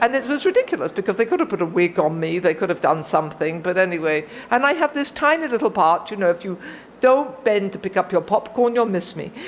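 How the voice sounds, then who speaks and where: A woman with a British accent talks at a very fast pace. Her medium-pitched voice swings very widely in pitch. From Britain. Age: 60s. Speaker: recovering alcoholic speaker. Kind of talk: testimony.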